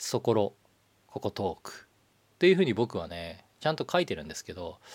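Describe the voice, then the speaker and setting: The man here speaks in a medium pitch. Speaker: livestream show navigator. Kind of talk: solo livestream talk. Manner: fast.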